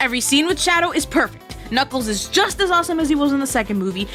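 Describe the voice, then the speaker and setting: With music in the background, a woman talks very fast in a raised, projected voice, her tone enthusiastic and upbeat and her intonation lively. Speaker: VTuber. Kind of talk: casual movie review to camera. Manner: enthusiastic, upbeat.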